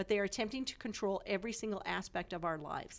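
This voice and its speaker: A woman talks at a very fast pace with a Western US accent. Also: very clean recording, silent background. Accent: General American (Western US). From Colorado. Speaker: politician. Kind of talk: interview.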